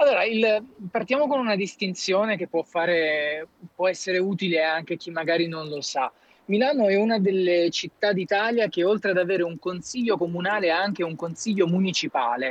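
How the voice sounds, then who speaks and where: Ordinary pitch variation and a fairly quick pace come through in a dry, close recording with no echo. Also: man, high pitch for a man. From Campania. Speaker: local political candidate. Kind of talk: casual chat.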